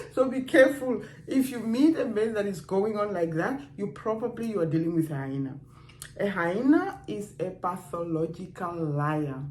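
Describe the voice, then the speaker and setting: A woman's medium-pitched voice at a moderate pace, with very wide pitch swings, audible room echo and noticeable background noise. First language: not English. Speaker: dating and relationships vlogger. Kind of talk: casual advice talk to camera. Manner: conversational, with hesitations.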